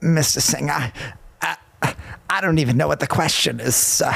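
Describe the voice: Putting on a raspy character voice, a man speaks at a medium pitch and fairly slow pace, with lively intonation and very even loudness.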